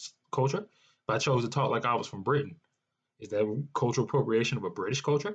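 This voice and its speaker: The speaker has an American accent and a somewhat breathy voice with ordinary pitch variation. The pace is very fast over a quiet background. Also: man. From US South (North Carolina, New Orleans). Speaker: podcast host. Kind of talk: solo podcast rant. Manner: conversational, with frequent fillers and repetitions.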